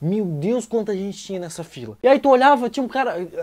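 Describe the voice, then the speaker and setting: Against a quiet background, a man speaks very fast in an animated tone, his pitch swinging very widely. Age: 20s. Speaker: comedian. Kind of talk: comedic rant. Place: home room. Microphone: lapel.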